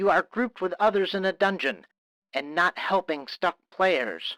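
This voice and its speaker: Putting on a character voice, a man speaks at a moderate pace in a whiny, shrill, high-pitched tone, dry and close with no echo. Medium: read story. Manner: scolding, domineering.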